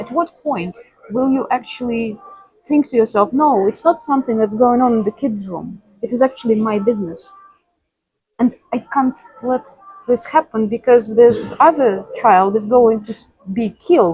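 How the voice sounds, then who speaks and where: With a Russian accent, a woman speaks at a moderate pace in a high pitch with ordinary pitch variation, pausing long and often. Her loudness swings widely, and the sound is dry and close with no echo. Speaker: interviewee. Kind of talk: interview conversation. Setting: cafe.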